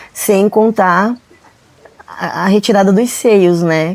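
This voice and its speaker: A woman talks at a very slow pace in a medium pitch with fairly even intonation. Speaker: guest sharing faith testimony. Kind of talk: testimony.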